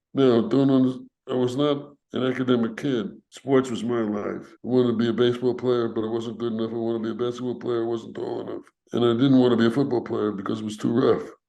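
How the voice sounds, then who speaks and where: Speaking at a very fast pace, a man keeps fairly even intonation at a medium pitch with a dark, mellow tone. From New York, Brooklyn. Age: 80s+. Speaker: civil rights veteran. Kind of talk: interview.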